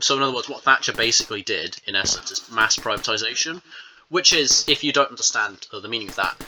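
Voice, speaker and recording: A man with a British accent at a very fast pace. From England. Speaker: gaming YouTuber. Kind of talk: casual rant over gameplay. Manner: animated.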